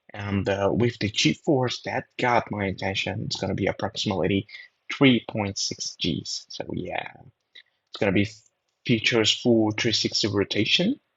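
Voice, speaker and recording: A man speaks with a Brazilian accent. His pitch is fairly low, with ordinary variation. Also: moderate pace. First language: Portuguese. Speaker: drone videographer. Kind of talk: voiceover commentary. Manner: halting.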